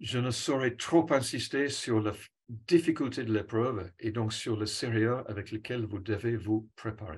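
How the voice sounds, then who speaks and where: A somewhat breathy man with an English accent, at a medium pitch and fairly slow pace, with ordinary pitch variation and hardly any pauses. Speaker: cycling coach. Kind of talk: presentation. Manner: hesitant, with fillers.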